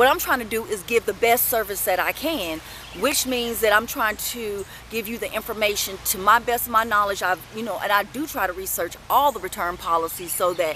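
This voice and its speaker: Against noticeable background noise, a woman with a fairly high pitch talks at a fairly quick pace with ordinary pitch variation. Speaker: vlogger and retail customer service worker. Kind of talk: casual monologue vlog. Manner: hesitant, many fillers.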